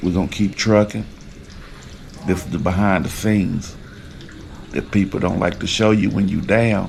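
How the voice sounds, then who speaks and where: Amid noticeable background noise, a man with a fairly low pitch speaks at a moderate pace with ordinary pitch variation and long, frequent pauses. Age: 40s. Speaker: rapper and vlogger. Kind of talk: personal video diary. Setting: hospital. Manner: halting.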